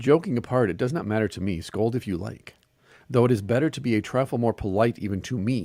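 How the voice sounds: The reading voice sounds natural. Nothing about it is forced.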